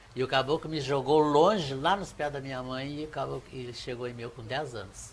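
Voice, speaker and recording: A man speaks at a moderate pace. His fairly high voice is somewhat breathy. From Brazil, Caxias do Sul (Rio Grande do Sul). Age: 70s. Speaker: Umbanda priest. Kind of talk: TV interview, storytelling.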